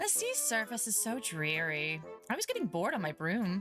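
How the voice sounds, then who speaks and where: A woman uses a put-on character voice, nasal and at a medium pitch. She speaks at a moderate pace over clear music in the background. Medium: virtual streamer. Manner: haughty, offhand.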